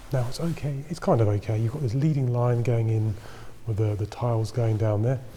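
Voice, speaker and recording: With ordinary pitch variation, the man keeps a moderate pace. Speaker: travel photographer. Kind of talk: vlog tutorial. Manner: quiet, speaking softly.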